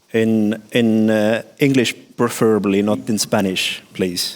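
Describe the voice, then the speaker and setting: In an Estonian accent, a man speaks at a very slow pace. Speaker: conference moderator. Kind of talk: moderating Q&A.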